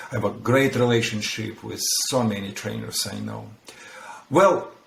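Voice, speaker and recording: A man talks with a non-native accent, his loudness swinging widely. Audible room echo and noticeable background noise fill the recording. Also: moderate pace. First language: not English. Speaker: dog trainer. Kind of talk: podcast conversation.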